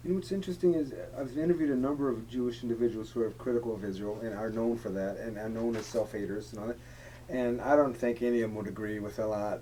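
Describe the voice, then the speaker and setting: Speaking at a very fast pace with hardly any pauses, a man keeps a medium pitch and ordinary pitch variation. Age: 60s. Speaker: interviewer. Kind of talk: interview.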